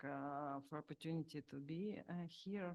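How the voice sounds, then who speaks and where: Speaking with a Ukrainian accent, a woman uses a fairly low pitch and a monotone, flat intonation. Her pace is fairly slow. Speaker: IDP council head. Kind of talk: panel speech. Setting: conference hall, in person. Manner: halting.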